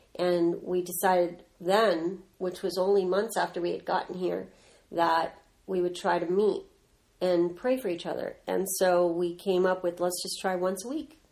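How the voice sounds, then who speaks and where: Her pitch medium and her intonation fairly even, a woman speaks at a moderate pace in a normal speaking voice. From Southern California. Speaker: ministry co-founder, mother. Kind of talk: casual family interview.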